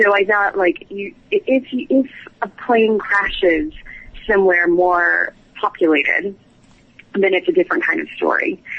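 In an American accent, a woman of medium pitch makes very wide pitch swings and takes long, frequent pauses. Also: fairly slow pace. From US New England, small town. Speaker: novelist. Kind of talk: interview. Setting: phone call.

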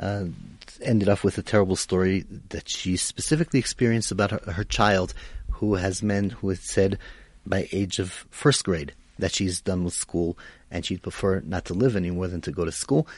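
Over a quiet background, a man with an Israeli accent and a very deep, low pitch speaks at a moderate pace with ordinary pitch variation. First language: Hebrew. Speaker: radio host. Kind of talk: radio talk show interview. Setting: radio studio.

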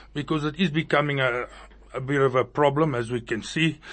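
A man is speaking. His pace is fairly quick. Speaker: motorcycle club president. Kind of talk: radio interview. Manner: loud, boisterous; blunt, outspoken.

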